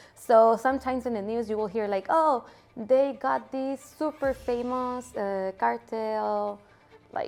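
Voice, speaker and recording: With a Mexican accent, a woman speaks at a fairly slow pace, her pitch fairly high and her pitch variation ordinary. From Mexico. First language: Spanish. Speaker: interviewee sharing her country's culture. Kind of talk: interview answers. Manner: casual with many fillers.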